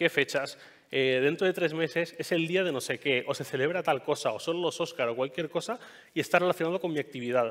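The background is quiet as a man speaks at a very fast pace. His pitch is fairly high, with ordinary variation. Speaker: podcaster and tech journalist giving a talk; podcaster, tech journalist giving a talk. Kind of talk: conference talk. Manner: hesitant, many fillers. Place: stage.

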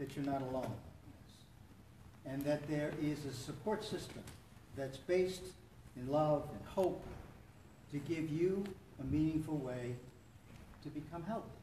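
Long, frequent pauses break up a man's speech. Room echo is audible, along with light background noise. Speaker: support meeting host. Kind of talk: welcome talk to a meeting. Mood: warm, encouraging. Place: church. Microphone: camera far.

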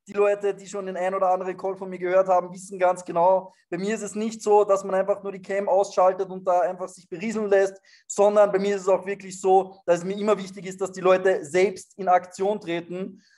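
Delivered at a fairly quick pace with hardly any pauses, the speech has a monotone, flat intonation over a quiet background. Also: man, high pitch for a man. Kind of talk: motivational talk on a group call. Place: home room. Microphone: webcam.

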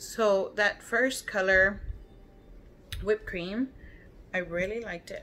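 A woman with an American accent speaks at a fairly slow pace with long, frequent pauses and big swings in loudness. Light background noise sits behind her. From Texas. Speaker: beauty vlogger. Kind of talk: casual chat. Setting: at home. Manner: animated. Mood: chatty, relaxed. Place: home room. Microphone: phone near.

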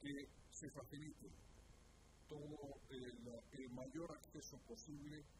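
A somewhat breathy man at a very slow pace with fairly even intonation, noticeable background noise behind him. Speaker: government minister. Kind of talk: press conference statement. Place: hall. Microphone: podium.

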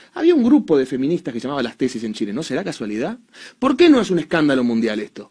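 Over a quiet background, a man with a Rioplatense accent talks in an animated tone with a fairly high pitch and lively intonation. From Argentina. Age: 30s. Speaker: commentator. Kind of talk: monologue commentary. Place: studio. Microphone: studio mic.

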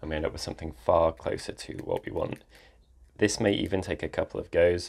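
A man talks at a moderate pace. Nothing much can be heard behind him. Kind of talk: casual vlog chat. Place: home room.

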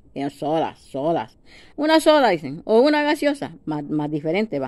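Here a woman with a Salvadoran accent speaks at a moderate pace and a fairly low pitch. Her pitch swings very widely. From El Salvador. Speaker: video blogger. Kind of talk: casual monologue to camera. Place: home room. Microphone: phone near.

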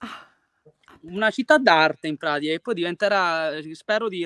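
The tone is bright and sharp, with ordinary pitch variation and a moderate pace. The sound is dry with no echo, over a quiet background. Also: man. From Sicily, province of Messina; Sicily. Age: 20s. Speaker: singer-songwriter and art teacher; art teacher. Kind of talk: video interview. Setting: outdoors, at a Greek temple ruin. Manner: hesitant, many fillers. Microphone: video call.

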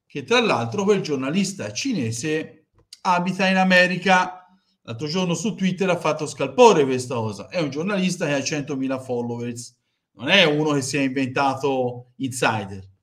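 Against a quiet background, a man speaks at a moderate pace with lively intonation. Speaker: football fan streamer. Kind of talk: commentary. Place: home room. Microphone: headset.

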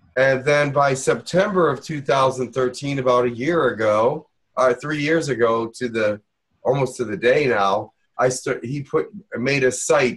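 Against a quiet background, a somewhat breathy man talks at a moderate pace with ordinary pitch variation. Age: 60s. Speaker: channeler and Reiki teacher. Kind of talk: online workshop. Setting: video call. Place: home room. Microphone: webcam.

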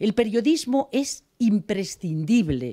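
Against a quiet background, a dark, mellow voice moves at a fairly slow pace with very wide pitch swings. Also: woman. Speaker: journalist. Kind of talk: acceptance speech. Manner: reading from notes. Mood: warm, grateful. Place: hall. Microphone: podium.

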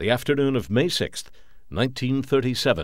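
Here is a man with an ordinary speaking voice at a medium pitch. He talks at a moderate pace on a very clean recording with a silent background. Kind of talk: documentary narration.

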